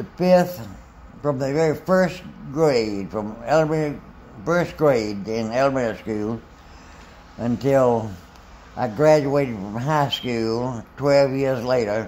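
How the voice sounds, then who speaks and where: With a Southern US accent, a medium-pitched man talks at a very slow pace with ordinary pitch variation and long, frequent pauses, in audible room echo. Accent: Southern US (Georgia). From US South, Macon, Georgia. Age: 80s+. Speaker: retired physician. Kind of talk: life story interview. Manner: halting.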